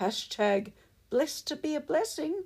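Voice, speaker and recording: On a very clean recording with a silent background, a woman speaks at a fairly slow pace with very wide pitch swings. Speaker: poet and author. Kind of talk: poetry reading, performed poem. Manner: rhythmic, steady sing-song cadence.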